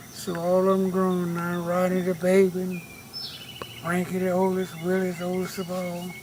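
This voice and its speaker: A man's high-pitched voice with a Southern US accent at a fairly slow pace, plus audible room echo and noticeable background noise. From US South. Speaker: family elder. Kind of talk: family oral history.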